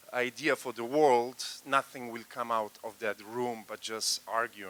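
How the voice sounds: At a fairly slow pace, a man speaks at a medium pitch with a bright, sharp tone and fairly even intonation.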